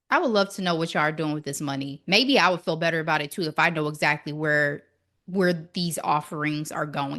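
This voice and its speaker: Talking at a very fast pace, a woman sounds animated, her tone bright and sharp against a quiet background. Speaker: podcast co-host. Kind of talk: casual chat.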